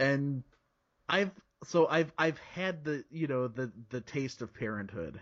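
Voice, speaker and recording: At a very slow pace, a man with an American accent talks at a fairly high pitch with lively intonation. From Chicago area, US Midwest. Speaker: podcaster. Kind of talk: casual interview chat.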